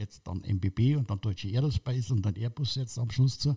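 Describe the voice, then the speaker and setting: A man with a dark, mellow tone sounds somewhat breathy in a very clean recording with a silent background and a dry, close sound with no echo. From Munich, Bavaria. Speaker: football club kit manager. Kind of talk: casual interview. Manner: halting.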